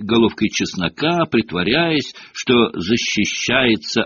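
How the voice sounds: This natural reading voice has lively intonation.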